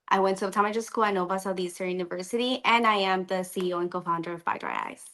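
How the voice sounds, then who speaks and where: With a bright, sharp tone, a woman in a Colombian accent talks at a very fast pace. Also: medium pitch for a woman. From Colombia, then Miami from age twelve. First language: Spanish. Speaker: optometrist. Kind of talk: casual interview. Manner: animated.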